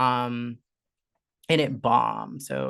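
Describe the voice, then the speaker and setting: A woman talks in an animated tone against a quiet background. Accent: Southern Californian. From Southern California, Orange County. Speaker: content creator and artist. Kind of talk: casual interview chat. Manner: soft-spoken; animated, many fillers.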